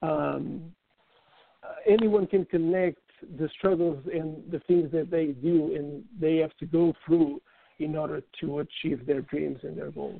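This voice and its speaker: A man with a non-native accent speaks at a fairly high pitch. His pace is fairly slow and his intonation fairly even. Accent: foreign. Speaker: author and team historian. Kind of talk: interview, casual chat.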